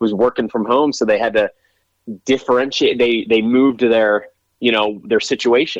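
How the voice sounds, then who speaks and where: A man's unremarkable speaking voice at medium pitch, with an American accent and a moderate pace. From Pennsylvania. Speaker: real estate agent and actor. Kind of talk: casual interview chat.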